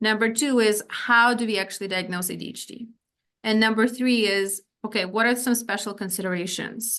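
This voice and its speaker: In a quiet background, a woman speaks at a medium pitch with a bright, sharp tone and fairly even intonation. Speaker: psychiatrist or physician presenting on ADHD. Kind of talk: lecture. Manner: fast.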